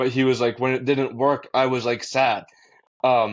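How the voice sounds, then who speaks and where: With a Boston accent, a man speaks at a medium pitch. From Massachusetts, US. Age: young. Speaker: college student and mental health advocate. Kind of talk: podcast interview. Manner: casual with fillers.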